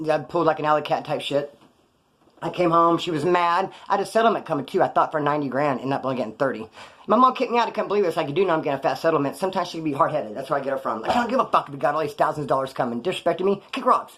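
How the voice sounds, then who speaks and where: An animated tone with lively intonation at a very fast pace. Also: man, fairly high pitch for a man. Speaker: former prisoner youtuber. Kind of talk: casual storytelling monologue.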